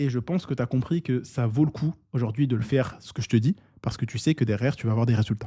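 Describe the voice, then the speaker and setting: Talking at a very fast pace, a man has a somewhat breathy voice with a dark, mellow tone. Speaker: online business coach. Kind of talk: tutorial. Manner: casual, with filler words.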